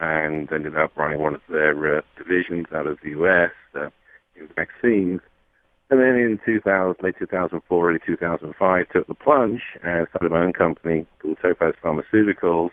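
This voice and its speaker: A man with a British accent talks at a fairly quick pace. His voice is very deep and low, with ordinary pitch variation. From England (London). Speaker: company CEO. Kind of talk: radio interview.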